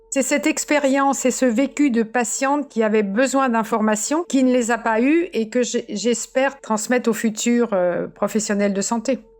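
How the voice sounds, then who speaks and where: A high-pitched woman speaks at a moderate pace with ordinary pitch variation, very even loudness and hardly any pauses, over noticeable background noise. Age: 70s. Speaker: cancer survivor and patient advocate. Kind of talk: personal testimony. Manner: halting, many repetitions and fillers.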